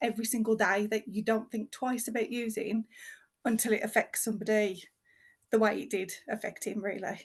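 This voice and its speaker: Over a quiet background, a woman with a West Midlands accent speaks at a moderate pace, somewhat breathy, in a fairly high pitch with monotone, flat intonation. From West Midlands, England. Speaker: home educating mum, natural skincare founder. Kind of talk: podcast interview.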